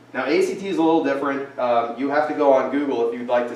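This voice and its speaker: Noticeable background noise fills the clip. Over it, a man speaks at a very fast pace. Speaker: financial advisor teaching college planning class. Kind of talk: classroom presentation. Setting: classroom with parents and students.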